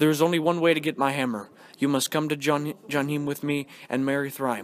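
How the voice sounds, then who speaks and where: In a put-on character voice, a man growls at a fairly high pitch and a fairly quick pace. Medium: read story. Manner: growling.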